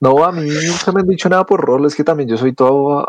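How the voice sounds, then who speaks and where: Delivered at a very fast pace with lively intonation, the voice comes through dry and close with no echo. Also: man. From Colombia. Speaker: podcast co-host. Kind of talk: casual chat.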